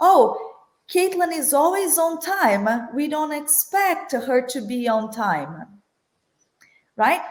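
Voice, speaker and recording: Speaking very slowly with long, frequent pauses, a woman with a Brazilian accent uses a high pitch and very wide pitch swings amid audible room echo. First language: Portuguese. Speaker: corporate finance executive. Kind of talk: panel discussion.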